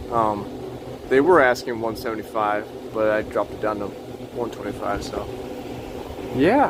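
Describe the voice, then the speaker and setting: Noticeable noise sits behind the recording. The speaker is a man. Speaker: electronics repair hobbyist. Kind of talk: casual tutorial. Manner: halting.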